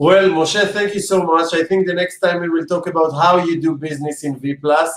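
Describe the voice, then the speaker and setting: A man is speaking. He has an Israeli accent. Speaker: interviewer. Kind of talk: interview.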